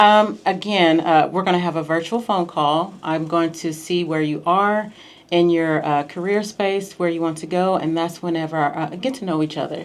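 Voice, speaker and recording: A woman with an American accent has an unremarkable speaking voice at a fairly low pitch. Her pitch variation is ordinary and her pace moderate. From US Midwest, small town in Missouri. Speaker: clinical research coach. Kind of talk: radio interview. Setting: radio studio.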